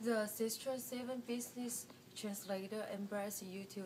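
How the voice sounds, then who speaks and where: Speech in a Chinese accent comes at a very slow pace with fairly even intonation. Noticeable background noise runs underneath. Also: woman. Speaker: student presenter. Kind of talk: class presentation. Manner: halting.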